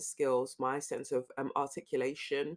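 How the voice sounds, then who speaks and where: A woman speaks in a London accent with a very deep, low pitch. Her intonation is monotone and flat. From London, Peckham (from age five; born in Lagos, Nigeria). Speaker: actress and social commentator. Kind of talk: interview.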